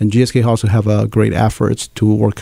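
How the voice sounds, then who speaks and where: A man speaks with a Chinese accent in a monotone, flat intonation. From China, Nanjing. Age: 30s. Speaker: pharmaceutical scientist and association leader. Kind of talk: interview.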